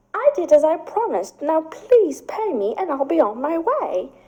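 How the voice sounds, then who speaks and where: Using a put-on character voice, a woman speaks at an extremely high, squeaky pitch with very wide pitch swings and a moderate pace. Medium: read story. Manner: calm, measured.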